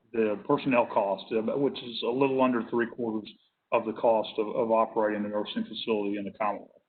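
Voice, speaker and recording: The voice belongs to a man. It sits mid-range and moves at an average tempo. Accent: Tennessee. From Tennessee. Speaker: nursing home industry representative. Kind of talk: work group presentation. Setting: hybrid virtual meeting. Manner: halting, many fillers.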